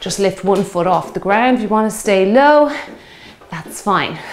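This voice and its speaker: A woman at a moderate pace, with ordinary pitch variation and light background noise. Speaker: fitness instructor. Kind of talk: workout instruction. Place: home room.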